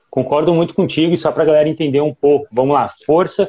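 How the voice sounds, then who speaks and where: A man is speaking. His pace is very fast. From Rio Grande do Sul, Brazil. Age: 20s. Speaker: fitness coach. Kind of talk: live stream discussion.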